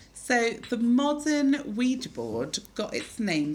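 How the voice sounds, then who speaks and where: A woman's somewhat breathy voice at a very slow pace, fairly high in pitch, with very wide pitch swings. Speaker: podcast host. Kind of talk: casual chat. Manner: animated, laughing.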